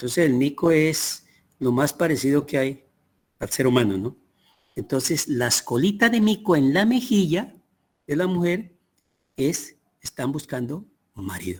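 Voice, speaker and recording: At a fairly slow pace, with long, frequent pauses, a man speaks at a fairly high pitch that swings very widely. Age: 80s+. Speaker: teacher. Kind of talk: lecture.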